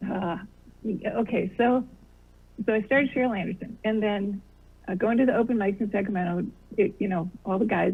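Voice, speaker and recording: This woman has a normal speaking voice with an American accent and a medium pitch. She talks at a fairly quick pace with fairly even intonation. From US Midwest. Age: 60s. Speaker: comedian. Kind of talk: interview.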